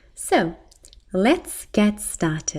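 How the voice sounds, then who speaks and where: A woman speaks with a British accent at medium pitch. Her voice is somewhat breathy, with very wide pitch swings. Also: very clean recording, silent background. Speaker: English teacher. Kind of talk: ESL pronunciation lesson. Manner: slow, clear.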